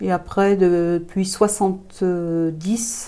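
A woman's dark, mellow tone holds a fairly low pitch with fairly even intonation. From France, Thonon-les-Bains (Haute-Savoie). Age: 50s. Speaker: community association founder. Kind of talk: interview. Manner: hesitant, many fillers.

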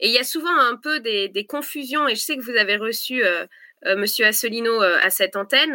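Speech comes at a fairly quick pace. A bright, sharp tone marks the voice. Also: woman, high pitch for a woman, ordinary pitch variation. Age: 30s. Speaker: presidential candidate. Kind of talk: political interview.

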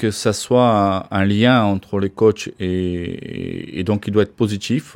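This man's voice sits at a fairly low pitch with ordinary pitch variation. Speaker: ice hockey coach. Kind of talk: interview. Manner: halting, many hesitations and repeats.

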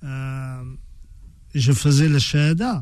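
A man's dark, mellow, somewhat breathy voice, fairly high in pitch, with fairly even intonation. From France. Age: 50s. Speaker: author and former boxer. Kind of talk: radio interview. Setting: radio studio. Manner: halting, frequent repetitions.

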